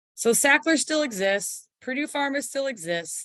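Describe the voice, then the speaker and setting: Against a quiet background, a woman speaks at a fairly slow pace with very wide pitch swings, the sound dry and close with no echo. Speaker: public information officer giving an educational seminar. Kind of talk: online informational seminar. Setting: online video call.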